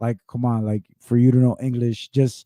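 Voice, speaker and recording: A man's medium-pitched voice has a dark, mellow tone and a dry, close sound with no echo. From Mexico, Monterrey. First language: Spanish. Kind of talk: casual chat. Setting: live podcast. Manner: halting, repeats words.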